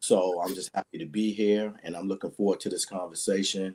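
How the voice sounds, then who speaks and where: In an American accent, a man speaks at a moderate pace. His very deep, low voice has a dark, mellow tone. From Washington, D.C. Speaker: athletic coach and mentor. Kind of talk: casual chat. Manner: halting, many fillers.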